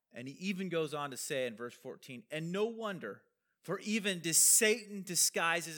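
A man's bright, sharp tone with very wide pitch swings. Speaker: pastor. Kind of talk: sermon. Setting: church. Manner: fast.

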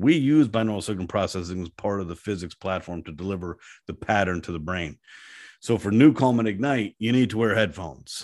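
Fairly quick pace from a man, in a very clean recording with a silent background. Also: fairly low pitch for a man, lively intonation. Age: 50s. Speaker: company CEO. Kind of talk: casual interview.

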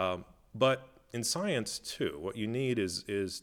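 In an Upper Midwest accent, a man with a fairly low voice speaks at a very slow pace with lively intonation, on a very clean recording with a silent background. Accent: Upper Midwest American. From US Midwest (Minnesota). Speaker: zoologist. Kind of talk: interview. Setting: museum back room. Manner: halting, many fillers.

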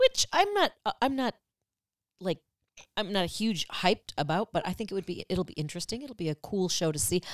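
An animated, lively-inflected voice at a fairly quick clip, very cleanly recorded against a silent background, dry and close with no echo. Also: woman, medium pitch for a woman. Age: 50s. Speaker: podcast co-host, theater enthusiast. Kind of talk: casual chat. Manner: animated, laughs often.

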